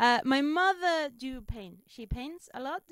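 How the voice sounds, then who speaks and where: Lively intonation stands out in a very clean recording with a silent background. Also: woman. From Spain. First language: Spanish. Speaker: stand-up comedian. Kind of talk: interview. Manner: halting.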